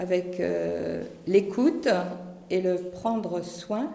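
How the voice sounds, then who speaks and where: Noticeable background noise and audible room echo both fill this recording. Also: woman. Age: 70s. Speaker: parish volunteer, retired physiotherapist. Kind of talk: testimony. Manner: halting.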